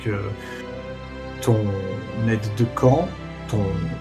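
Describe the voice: The voice reads aloud plainly, with lively intonation.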